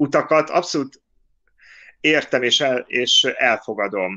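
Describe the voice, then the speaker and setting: A man's fairly high voice at a very slow pace, against a quiet background. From Hungary. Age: 40s. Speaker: podcast co-host. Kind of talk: casual chat. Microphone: phone mic after laptop volume problems.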